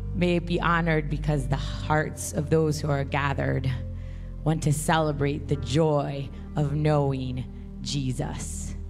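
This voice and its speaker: Clear music plays in the background as the speech moves at a very slow pace. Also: woman. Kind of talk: prayer and scripture reading. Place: stage. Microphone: handheld.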